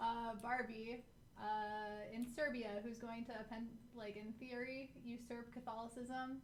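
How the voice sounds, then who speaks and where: Audible room echo surrounds a woman speaking fairly slowly at a fairly high pitch in a monotone, flat way. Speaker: game streamer. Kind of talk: live game stream commentary. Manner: flat, monotone delivery; halting, many fillers and restarts.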